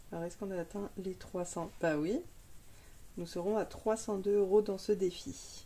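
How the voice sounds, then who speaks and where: A woman speaks at a medium pitch and a fairly slow pace, leaving long, frequent pauses. Her tone is dark and mellow, her intonation fairly even. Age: 30s. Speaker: budgeting youtuber. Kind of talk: casual tutorial.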